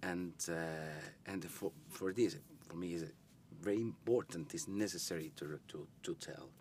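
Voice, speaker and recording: A man talks at a moderate pace in a very deep, low voice, with long, frequent pauses. The sound is dry with no echo, with light background noise. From Italy. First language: Italian. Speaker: film director. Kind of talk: interview. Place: studio. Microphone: lapel.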